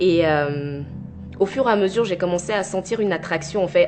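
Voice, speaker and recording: A woman at a fairly low pitch and fairly quick pace, with ordinary pitch variation and music in the background. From Ivory Coast (Abidjan), teen years in Normandy, France. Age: 20s. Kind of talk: testimony.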